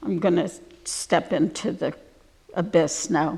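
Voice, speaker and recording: The woman talks at a very slow pace with lively intonation. Her fairly low voice carries vocal fry. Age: 70s. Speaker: artist. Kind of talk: public talk. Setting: gallery with audience.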